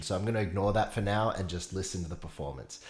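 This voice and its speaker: Somewhat breathy, a man talks at a very fast pace. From Australia. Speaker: singer-songwriter reacting to music. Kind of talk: casual reaction commentary.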